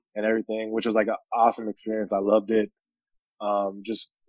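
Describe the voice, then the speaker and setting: With an American accent, a man delivers his words at a fairly quick pace in a fairly low pitch and monotone, flat intonation. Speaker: pro basketball player. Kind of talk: casual chat.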